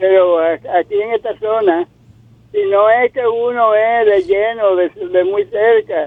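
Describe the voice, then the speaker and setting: A man with a high voice speaks very slowly at a very even loudness. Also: ordinary pitch variation. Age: 80s+. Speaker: caller. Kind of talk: phone-in question. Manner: halting.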